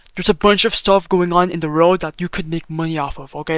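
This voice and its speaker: Amid noticeable background noise, a man speaks in a high pitch and an animated tone, the sound dry and close with no echo. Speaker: crypto YouTuber. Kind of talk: tutorial. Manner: fast; casual, animated.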